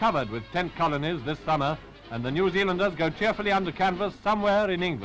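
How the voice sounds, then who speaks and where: With music in the background, a man talks at a very fast pace in a high pitch for a man. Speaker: newsreel narrator. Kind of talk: wartime newsreel commentary.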